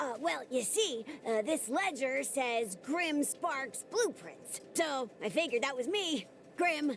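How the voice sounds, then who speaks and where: A female-sounding, high-pitched put-on character voice, upbeat in tone and fairly slow, over clear background noise. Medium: video game. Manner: folksy, upbeat.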